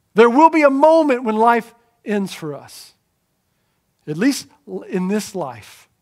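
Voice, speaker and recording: A man with an American accent speaks at an extremely high pitch and a very slow pace, with long, frequent pauses. His pitch swings very widely and his loudness varies greatly. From eastern North Carolina. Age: 40s. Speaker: pastor. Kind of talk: sermon. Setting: church.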